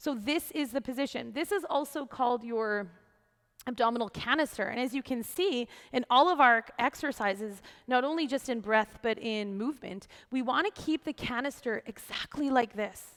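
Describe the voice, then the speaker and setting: A woman's high-pitched, animated voice with ordinary pitch variation, set against a quiet background. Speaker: yoga teacher. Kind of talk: tutorial. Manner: fast. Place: empty room.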